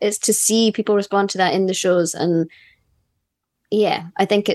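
A woman with a Scottish accent, recorded dry and close with no echo. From Scotland. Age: 30s. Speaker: musician in a band. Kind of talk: casual chat.

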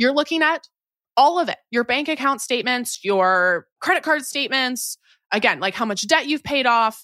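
A woman with a high pitch and a bright, sharp tone speaks in a raised, projected voice at a moderate pace, her tone animated and intonation lively. The recording is very clean with a silent background, dry and close with no echo. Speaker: personal finance expert and author. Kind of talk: interview conversation.

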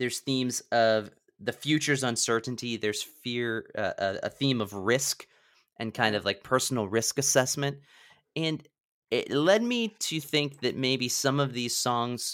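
Using a normal speaking voice, a man talks at a fairly slow pace and medium pitch with ordinary pitch variation. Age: 30s. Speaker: podcast host. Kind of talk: casual chat. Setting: video call.

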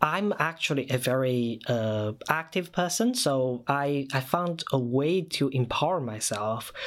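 On a very clean recording with a silent background, a man with a Chinese accent speaks at a fairly slow pace and a fairly high pitch. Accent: Mandarin Chinese-accented English. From China. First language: Mandarin Chinese. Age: 30s. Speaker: podcast collective member. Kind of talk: personal storytelling.

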